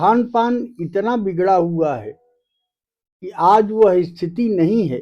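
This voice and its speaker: With a dark, mellow tone, a man speaks at a high pitch using ordinary pitch variation. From northern India, rural village. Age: 70s. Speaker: village elder. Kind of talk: interview.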